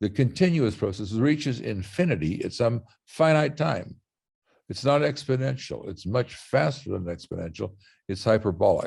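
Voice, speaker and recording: Showing vocal fry and very wide pitch swings, a man speaks at a medium pitch and moderate pace in a very clean recording with a silent background. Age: 80s+. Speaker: scientist presenter. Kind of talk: lecture.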